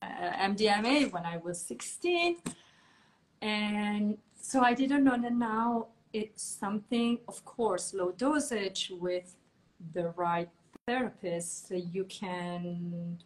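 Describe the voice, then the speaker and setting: Somewhat breathy, a woman with an Italian accent speaks at a very slow pace in a medium pitch with lively intonation. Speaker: podcast host. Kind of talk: interview. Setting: video call.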